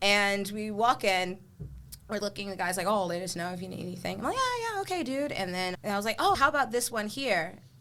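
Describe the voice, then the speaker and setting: A woman with an American accent at a medium pitch, with ordinary pitch variation and noticeable background noise. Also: fairly quick pace. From United States. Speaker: podcast host. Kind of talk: casual chat.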